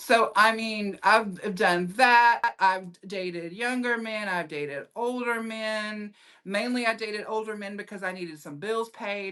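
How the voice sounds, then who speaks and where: A woman with a Southern US accent speaks at a fairly slow pace, her tone bright and sharp and her pitch fairly high. She shows ordinary pitch variation and big swings in loudness. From US South. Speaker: comedian and actress. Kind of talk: casual chat. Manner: animated.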